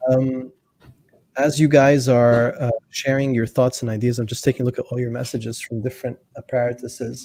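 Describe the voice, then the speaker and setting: A man with a normal speaking voice talks at a moderate pace, his medium pitch carrying fairly even intonation. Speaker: talk show host. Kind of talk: livestream interview. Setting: online livestream.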